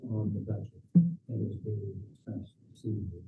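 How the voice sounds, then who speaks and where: A man's fairly low, monotone, flat voice at a fairly slow pace with music in the background. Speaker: museum president speaking at public comment. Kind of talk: public comment at council meeting. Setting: council chamber. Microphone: too quiet, not speaking into mic.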